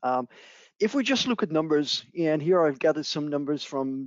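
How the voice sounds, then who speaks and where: The man speaking has a fairly high pitch. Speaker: marketing director at a security company. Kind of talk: conference presentation. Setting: virtual event, remote recording. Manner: halting with many fillers and repetitions.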